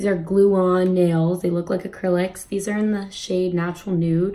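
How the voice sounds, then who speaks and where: There is noticeable background noise behind this woman. She speaks at a moderate pace in a monotone, flat intonation. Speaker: beauty vlogger. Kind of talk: makeup tutorial. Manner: casual, filler-heavy.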